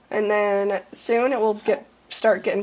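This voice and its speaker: Noticeable noise runs in the background. A woman speaks at a medium pitch. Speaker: parent of a tube-fed child. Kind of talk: instructional demonstration.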